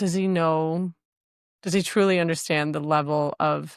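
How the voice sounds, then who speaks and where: Over a silent background in a very clean recording, a woman talks at a moderate pace with a fairly low pitch and fairly even intonation. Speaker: relationship podcast co-host. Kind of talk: casual chat. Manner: careful, measured.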